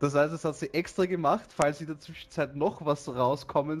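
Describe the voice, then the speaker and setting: A plain, everyday voice talks at a moderate pace. Light background noise can be heard. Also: man. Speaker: streamer. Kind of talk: casual streaming talk.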